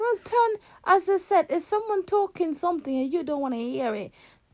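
Her pitch extremely high, a woman speaks fairly quickly with lively intonation and a slightly mellow tone.

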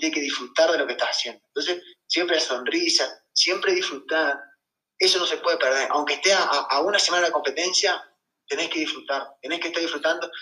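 A man talks at a fairly quick pace in a high pitch. His tone is bright and sharp, his intonation fairly even. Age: 20s. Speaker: middle-distance runner. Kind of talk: casual interview.

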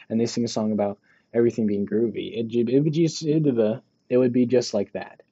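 He has an unremarkable speaking voice, set at a medium pitch for a man. His speech moves fairly quickly, and the pitch varies normally. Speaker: podcast co-host. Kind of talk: casual chat. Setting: basement room. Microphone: muffled by face mask.

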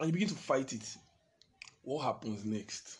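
Somewhat breathy, a man speaks at a medium pitch and a moderate pace with lively intonation. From Nigeria. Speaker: podcast host. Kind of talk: podcast interview.

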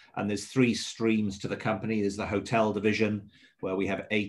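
A man with a slight Welsh accent speaks at a medium pitch. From Swansea, south Wales. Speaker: hotel general manager. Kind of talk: radio interview.

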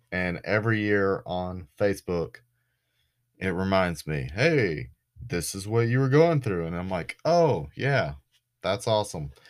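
Against a silent background in a very clean recording, a man with a Southern US accent talks at a fairly slow pace with very wide pitch swings. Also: fairly low pitch for a man. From US South, Florida Panhandle. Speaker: podcast host. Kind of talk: casual storytelling monologue.

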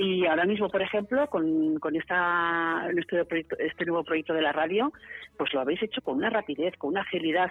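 Keeping a very even loudness, a woman speaks at a fairly quick pace in a fairly low pitch. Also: ordinary pitch variation. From Barcelona, Spain. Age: 50s. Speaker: city tourism councillor. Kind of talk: radio interview. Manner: animated.

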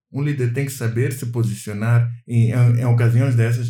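The man's voice has a medium pitch and a dark, mellow tone, somewhat breathy. He keeps a moderate pace, with audible room echo around him. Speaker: podcast co-host. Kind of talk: casual chat.

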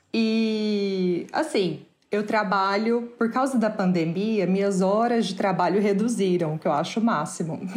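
In a room with audible echo, a woman at medium pitch talks at a fairly slow pace with ordinary pitch variation and hardly any pauses. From Brazil. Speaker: artist. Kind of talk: interview.

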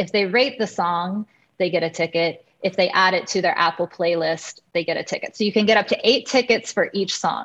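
With hardly any pauses, a woman speaks at a fairly quick pace and ordinary pitch variation. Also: medium pitch for a woman. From Kansas, US. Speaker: composer and music producer. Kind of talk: interview.

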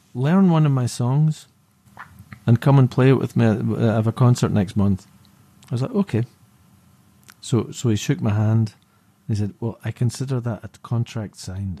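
The voice is somewhat breathy and dark, mellow in tone, moving at a moderate pace with ordinary pitch variation and long, frequent pauses, in a dry, close sound with no echo. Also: man, medium pitch for a man. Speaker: musician. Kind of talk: casual interview chat.

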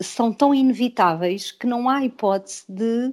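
With a normal speaking voice, a woman talks at a fairly slow pace in a fairly high pitch, her intonation lively. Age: 50s. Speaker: author and self-help group facilitator. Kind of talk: interview. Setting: video call.

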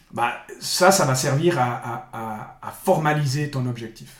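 A man talks at a medium pitch with ordinary pitch variation. Room echo can be heard around his voice. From Switzerland, Bulle (canton of Fribourg). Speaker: sports coach. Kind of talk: interview. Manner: halting, frequent repetitions.

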